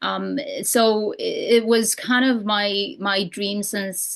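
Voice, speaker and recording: A woman speaks with a Romanian accent. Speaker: real estate broker and coach. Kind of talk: podcast interview. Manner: halting, many fillers.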